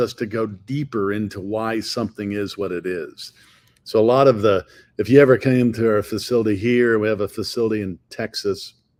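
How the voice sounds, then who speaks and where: The recording is very clean, with a silent background. A man talks at a moderate pace with medium pitch and fairly even intonation. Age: 60s. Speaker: company CEO. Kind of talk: interview. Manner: halting, many repetitions and fillers.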